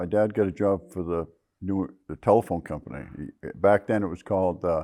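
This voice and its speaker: At a very deep, low pitch, a man talks at a fairly quick pace with a dark, mellow tone and fairly even intonation. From Maine, Rangeley area. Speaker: local snowmobile club member. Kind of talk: oral history interview.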